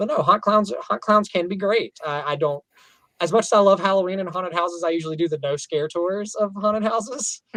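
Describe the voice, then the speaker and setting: Man with a Southern US accent, high pitch, a bright, sharp tone, ordinary pitch variation and a fairly quick pace. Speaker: professional clown and entertainer. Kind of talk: casual podcast interview.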